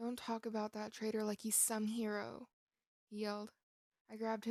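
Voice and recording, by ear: With quiet behind the voice, the passage is read aloud in a natural voice.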